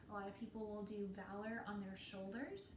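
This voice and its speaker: Fairly slow, monotone, flat delivery from a woman at a medium pitch, with audible room echo and noticeable background noise. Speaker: essential oils distributor. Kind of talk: live sales talk.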